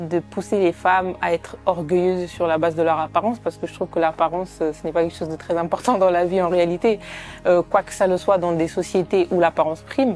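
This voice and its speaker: A woman's fairly low voice at a fairly quick pace, intonation fairly even, music in the background. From Italy. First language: Italian (speaking French). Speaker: documentary filmmaker and sociologist. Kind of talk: interview. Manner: hesitant, many fillers.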